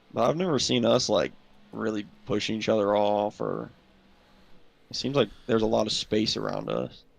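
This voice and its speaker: Mumbling from a man with a Southern US accent, broken by long, frequent pauses. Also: moderate pace. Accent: Gen Z Southern. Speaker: sim racing team driver. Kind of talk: casual chat.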